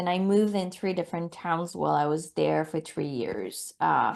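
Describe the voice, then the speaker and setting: A woman speaks at a moderate pace in a French accent. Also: quiet background. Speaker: intuitive mentor and healer. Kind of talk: interview.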